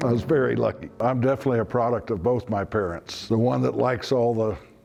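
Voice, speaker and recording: A man is speaking, with noticeable background noise in the recording. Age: 70s. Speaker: business owner telling life story. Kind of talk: interview storytelling. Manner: relaxed, with frequent fillers.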